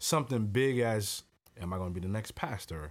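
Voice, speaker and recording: An ordinary speaking voice from a man, at a moderate pace with ordinary pitch variation. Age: 30s. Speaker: author and law enforcement officer. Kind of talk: casual interview.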